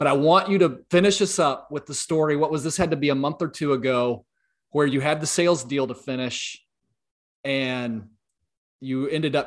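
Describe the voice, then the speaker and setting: Speaking with a Southern US accent, a man uses a fairly high pitch with ordinary variation. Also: quiet background. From US South, South Louisiana. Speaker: podcast host. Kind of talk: interview conversation.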